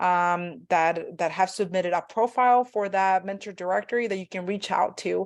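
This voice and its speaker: Against a quiet background, someone speaks at a moderate pace with a Spanish accent. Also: woman. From Mexico. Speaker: graduate student panel moderator. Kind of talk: online panel discussion. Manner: halting, many fillers.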